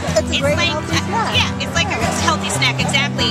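Over loud music in the background, a woman speaks at a fairly quick pace. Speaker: vendor at a seaweed booth. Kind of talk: interview answer. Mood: friendly, enthusiastic. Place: hall. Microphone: phone near.

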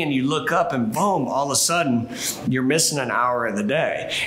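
At a fairly quick pace, a man talks with lively intonation. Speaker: sales team trainer. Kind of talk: training talk to camera. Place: office.

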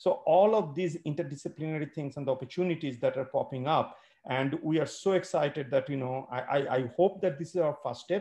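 A man talks at a fairly quick pace in a somewhat breathy, dark, mellow tone with ordinary pitch variation. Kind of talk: welcome remarks. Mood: grateful, enthusiastic. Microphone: video call.

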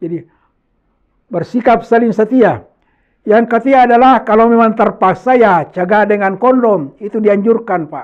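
A man speaks at a moderate pace in a high pitch. The background is quiet. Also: ordinary pitch variation. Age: 70s. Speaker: HIV/AIDS educator, AIDS commission board member. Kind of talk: educational talk to school students.

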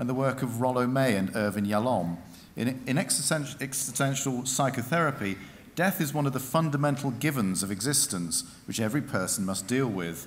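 Here a man talks at a fairly quick pace. His intonation is lively. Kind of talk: formal ceremonial citation. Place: hall. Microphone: podium.

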